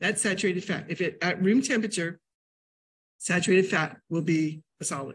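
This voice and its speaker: The tone is animated and somewhat breathy, with ordinary pitch variation. The pace is fairly quick, broken by long, frequent pauses. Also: woman. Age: 60s. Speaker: nutrition educator and teacher; nutrition educator, teacher. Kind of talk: lecture. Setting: library classroom with audience, hybrid via Zoom. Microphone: video call.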